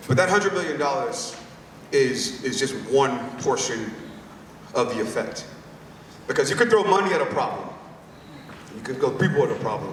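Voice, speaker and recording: A man speaks with a high pitch and an energetic tone at a moderate pace, his pitch swinging very widely and long pauses coming often. Noticeable background noise and audible room echo surround him. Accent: American. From US South, rural Louisiana. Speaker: company speaker at creator event. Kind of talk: keynote speech. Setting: stage with audience. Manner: energetic, crowd call-and-response.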